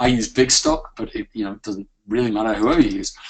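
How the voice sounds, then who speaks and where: A man speaks with a British accent. His pace is fairly quick. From UK. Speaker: software founder presenting a product. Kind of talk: webinar product demo. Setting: live webinar. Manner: hesitant with many fillers.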